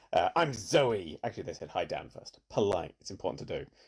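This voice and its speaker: A quiet man with a British accent at a fairly quick pace. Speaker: streamer. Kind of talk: casual chat. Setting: home at night, guests asleep. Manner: quiet, avoiding shouting.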